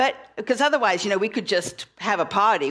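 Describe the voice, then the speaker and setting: Speaking with a South African accent, a woman talks at a fairly quick pace in an animated tone. Noticeable background noise is present. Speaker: minister. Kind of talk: sermon.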